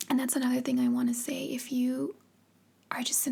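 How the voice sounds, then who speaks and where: Soft-spoken and high-pitched, a woman talks in a dark, mellow tone with monotone, flat intonation. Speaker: ASMR content creator. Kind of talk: personal storytelling.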